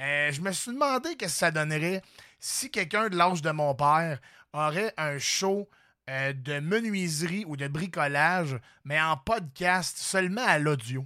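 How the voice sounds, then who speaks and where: In a Quebec accent, a man with a fairly high pitch sounds animated and bright, sharp in tone, using ordinary pitch variation, in a very clean recording with a silent background. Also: fairly slow pace. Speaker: comedian and podcast host. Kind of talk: casual chat.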